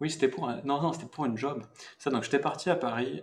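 A man speaks with lively intonation and vocal fry. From southern France, rural. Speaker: VFX artist. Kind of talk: casual interview.

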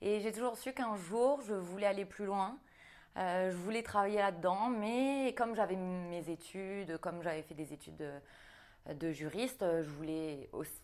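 In a plain, everyday voice, a woman talks at a fairly slow pace, with a medium pitch and lively intonation. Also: very clean recording, silent background. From New Caledonia. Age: 30s. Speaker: fitness coach and bodybuilding athlete. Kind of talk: casual interview.

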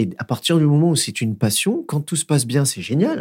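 Fairly quick speech comes in a somewhat breathy voice. The background is silent, and the recording is very clean. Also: man. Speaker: dancer and choreographer. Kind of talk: casual interview. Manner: hesitant, many fillers.

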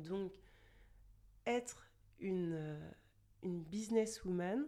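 A woman's fairly low voice with a dark, mellow tone, ordinary pitch variation and a very slow pace. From France, Chartres area. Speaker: luxury store manager. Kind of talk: casual interview.

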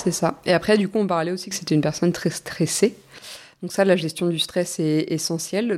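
A woman's ordinary speaking voice, fairly low in pitch, on a very clean recording with a silent background. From Normandy, France. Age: 20s. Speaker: naturopath. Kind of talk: casual interview. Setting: studio.

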